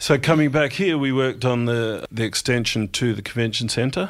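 A man with an Australian accent talks at a moderate pace. The recording is very clean, with a silent background. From South Australia (country town). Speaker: engineering company managing director. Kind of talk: interview.

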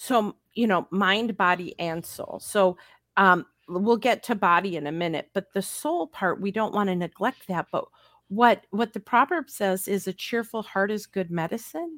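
A woman with an American accent has an ordinary speaking voice at medium pitch, her intonation lively. The recording is very clean with a silent background, dry and close with no echo. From US Midwest, Upper Peninsula of Michigan. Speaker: self-care coach. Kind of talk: casual chat.

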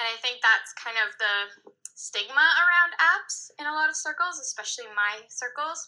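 A woman projects a raised, high voice with a bright, sharp tone. Her intonation is lively and her pace moderate. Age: 20s. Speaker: podcast listener. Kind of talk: casual voice message. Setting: recorded voice memo.

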